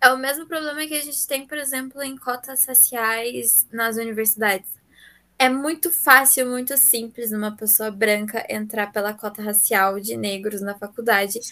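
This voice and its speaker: Speaking at a moderate pace in a very clean recording with a silent background, a woman has a fairly high pitch, a bright, sharp tone, ordinary pitch variation and big swings in loudness. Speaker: podcast co-host. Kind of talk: casual chat.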